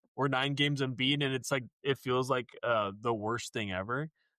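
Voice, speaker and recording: A man of medium pitch speaks at a moderate pace in a bright, sharp tone. The sound is dry and close with no echo, over a quiet background. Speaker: podcast co-host. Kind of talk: casual chat. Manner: energetic.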